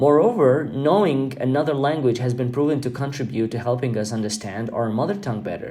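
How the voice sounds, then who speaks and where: A man with a medium pitch talks at a fairly quick pace with hardly any pauses and ordinary pitch variation, and room echo is audible. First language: Albanian. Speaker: podcast host. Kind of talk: podcast monologue. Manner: halting with fillers.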